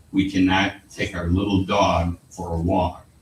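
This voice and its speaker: A man talks in a very deep, low pitch at a fairly slow pace. His voice is somewhat breathy. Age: 80s+. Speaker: contractor speaking at public comment. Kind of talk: public comment at council meeting. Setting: city council chamber.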